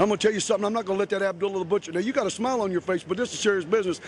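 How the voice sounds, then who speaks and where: A man talks in an American accent at a high pitch, with ordinary pitch variation. Noticeable background noise runs under the recording. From Ohio, Chillicothe. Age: 40s. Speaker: professional wrestler. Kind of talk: wrestling promo interview. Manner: animated.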